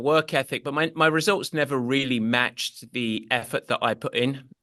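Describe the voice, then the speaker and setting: A man's bright, sharp voice with an English accent, at a moderate pace with ordinary pitch variation, dry and close with no echo against a quiet background. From England. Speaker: endurance sports coach. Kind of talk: podcast interview.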